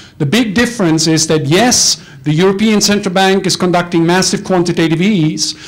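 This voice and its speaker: Speech moves at a moderate pace with hardly any pauses. Noticeable background noise is present. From Germany. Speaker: financial analyst. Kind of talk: panel talk.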